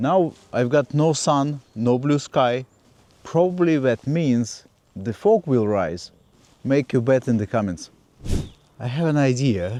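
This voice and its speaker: A man with a non-native accent speaks very slowly, with long, frequent pauses. His voice is medium-pitched with a dark, mellow tone and lively intonation. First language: not English. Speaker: landscape photographer. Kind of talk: vlog tutorial. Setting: outdoors.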